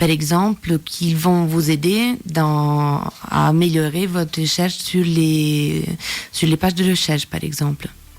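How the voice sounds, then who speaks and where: A woman with an Italian accent, very deep and low in pitch, at a very slow pace with very even loudness. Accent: Italian, sing-song. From Italy. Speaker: communication and marketing agency manager. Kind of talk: interview answer.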